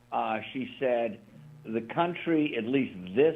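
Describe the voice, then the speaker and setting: A man's plain, everyday voice, medium in pitch, with lively intonation. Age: 60s. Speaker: radio co-host. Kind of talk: talk radio discussion.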